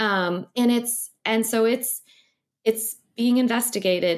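A woman speaks in an American accent with a fairly high pitch. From US Midwest (Missouri). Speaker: ocean scientist and science writer. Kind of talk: interview. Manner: halting, many fillers.

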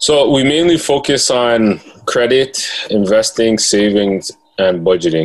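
With an ordinary speaking voice, a man talks at a fairly slow pace and medium pitch, his intonation lively and his loudness very even. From Toronto, Canada (Jane and Finch). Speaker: financial literacy educator and author. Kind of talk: casual interview.

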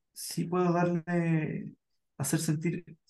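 A man speaks in a plain, everyday voice. His pitch sits fairly high. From southern Chile, Puerto Montt. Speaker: psychologist. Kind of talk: casual chat.

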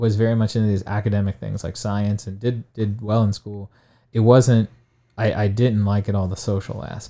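A man with a Midwestern American accent and a fairly low voice of dark, mellow tone speaks at a moderate pace with fairly even intonation, on a very clean recording with a silent background. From Ohio, Stark County. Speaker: high school science teacher. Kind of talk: interview. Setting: studio.

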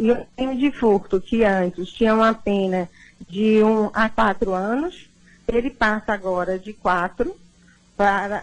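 A woman talks in a normal speaking voice at a fairly high pitch. She keeps a fairly slow pace with ordinary pitch variation. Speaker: lawyer. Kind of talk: radio interview.

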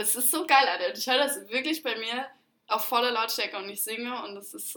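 Fairly high in pitch, this woman has an unremarkable speaking voice whose pitch varies in an ordinary way. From Germany. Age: 20s. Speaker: podcast co-host, bartender. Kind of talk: casual chat.

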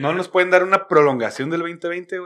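A man with a Mexican accent, fairly high in pitch, at a moderate pace with ordinary pitch variation. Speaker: podcast host. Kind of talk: casual chat. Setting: studio. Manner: animated.

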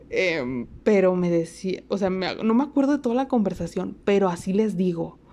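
A woman's dark, mellow tone, with lively intonation at a moderate pace. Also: medium pitch for a woman. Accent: Mexican. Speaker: podcast host. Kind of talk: casual monologue. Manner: animated.

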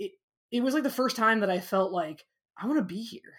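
In a very clean recording with a silent background, a woman speaks with a Midwestern American accent. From US Midwest, small-town Illinois. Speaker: physics professor. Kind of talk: interview. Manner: hesitant, many fillers.

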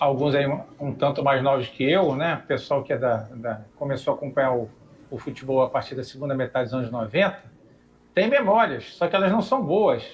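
Somewhat breathy, a man speaks at a moderate pace. His fairly high pitch carries lively intonation. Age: 50s. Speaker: architect, club council member. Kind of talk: online debate show.

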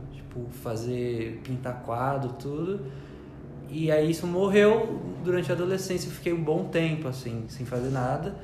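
A soft-spoken man with a fairly high pitch speaks at a fairly slow pace with lively intonation. There is noticeable background noise and audible room echo. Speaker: church member and artist. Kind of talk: testimony. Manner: quiet, soft-spoken.

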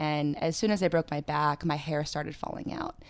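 A woman speaks with an American accent in a very deep, low pitch. The recording is very clean, with a silent background. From Pennsylvania. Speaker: brand creative lead and yoga teacher. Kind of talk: interview, personal story.

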